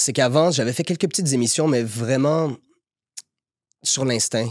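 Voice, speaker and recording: A man's voice sits at a medium pitch, moving along at a moderate speed with normal variation in pitch. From Quebec, Montreal (Saint-Léonard). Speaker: actor. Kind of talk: podcast interview. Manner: hesitant, repeats words.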